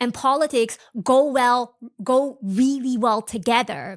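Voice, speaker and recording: The tone is animated. The recording is very clean, with a silent background. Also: woman. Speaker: podcast host. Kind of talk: casual educational podcast monologue.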